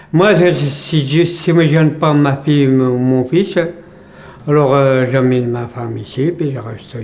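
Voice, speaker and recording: Over noticeable background noise and audible room echo, a man talks at a fairly high pitch with ordinary pitch variation. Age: 60s. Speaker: retired immigrant worker, interviewee. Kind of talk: interview. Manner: halting.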